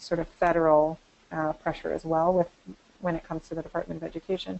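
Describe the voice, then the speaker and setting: A woman's fairly low, flat, monotone voice at a fairly quick pace. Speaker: college director of institutional effectiveness. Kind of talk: webinar presentation. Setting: online webinar. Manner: fast.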